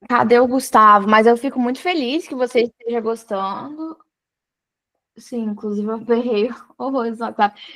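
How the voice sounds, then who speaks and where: Her pace is moderate, broken by long, frequent pauses. This woman has a fairly high pitch with ordinary pitch variation. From Brazil, Espírito Santo. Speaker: study mentor for public exams. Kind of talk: live online mentoring session. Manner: halting, many restarts.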